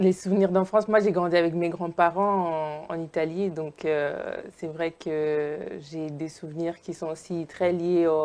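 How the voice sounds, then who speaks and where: A woman's fairly low, monotone voice with flat intonation, at a fairly slow pace. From Italy, Naples. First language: Italian (speaking French). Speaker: sociologist and filmmaker. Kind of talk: interview. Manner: hesitant, many fillers.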